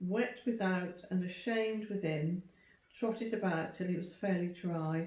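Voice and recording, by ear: With ordinary rises and falls in pitch, a person reads out loud in a natural voice.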